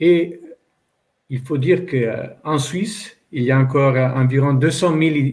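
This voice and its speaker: A man speaks at a fairly slow pace in an Italian accent. His medium-pitched voice is somewhat breathy, with ordinary pitch variation. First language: Italian (speaking French). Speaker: publisher. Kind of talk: panel discussion. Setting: online panel event. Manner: halting, many hesitations.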